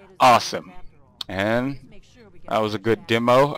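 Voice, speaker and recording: Music plays in the background. A man speaks at a medium pitch. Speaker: video game modder. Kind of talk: casual demo narration. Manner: hesitant, many filler words.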